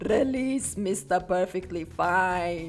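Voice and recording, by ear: Over clear background noise, a woman uses a put-on character voice at medium pitch and a very slow pace.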